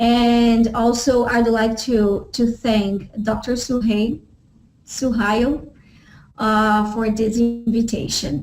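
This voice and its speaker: Over background music, a woman with a Portuguese accent speaks at a very slow pace and a fairly high pitch. Her intonation is fairly even and her loudness very even. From Brazil. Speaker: professor. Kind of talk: lecture. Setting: web session. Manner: halting, many fillers.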